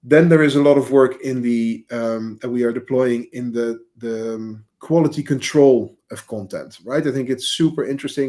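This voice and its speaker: A man with a Dutch accent speaks at a medium pitch in a dark, mellow tone, his intonation fairly even. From Netherlands, village near Amsterdam. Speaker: agency CEO. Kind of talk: podcast interview. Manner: halting, many fillers.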